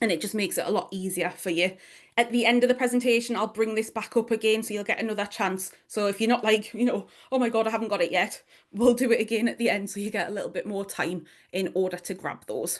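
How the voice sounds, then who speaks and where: Talking very fast, a woman uses a strong Geordie accent. Her pitch is fairly high. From northeast England, Newcastle. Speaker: online business strategist and mentor. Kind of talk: workshop presentation. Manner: animated.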